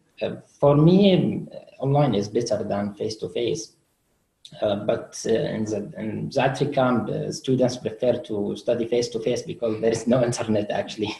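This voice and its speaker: The voice carries an Arabic accent and a dark, mellow tone. Vocal fry runs through it. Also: man, medium pitch for a man, ordinary pitch variation, moderate pace. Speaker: refugee student. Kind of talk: webinar interview. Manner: halting.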